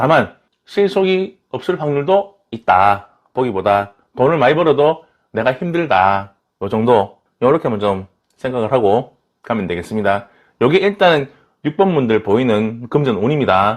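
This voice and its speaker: A man with a strong Daegu accent speaks at a fairly slow pace in a medium pitch. His pitch swings very widely. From Daegu, South Korea. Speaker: tarot reader. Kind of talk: tarot reading to camera. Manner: irregular intonation, casual.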